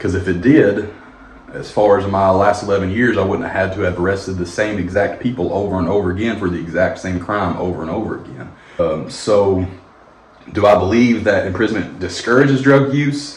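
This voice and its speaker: With an American accent, this speaker talks at a fairly quick pace with ordinary pitch variation, amid noticeable background noise and audible room echo. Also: man, fairly low pitch for a man. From Kentucky, Madisonville. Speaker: former police officer. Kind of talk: documentary interview.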